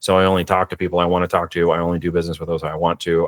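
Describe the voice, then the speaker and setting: A man at a very fast pace, in a dry, close sound with no echo. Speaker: business author and investor. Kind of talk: podcast interview. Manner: calculated.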